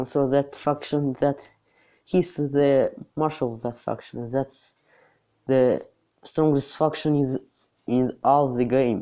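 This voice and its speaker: The speaker talks at a very slow pace with a non-native accent. Long, frequent pauses break up the speech. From not US or UK. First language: not English. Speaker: mobile game YouTuber. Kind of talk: gameplay tutorial. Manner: halting.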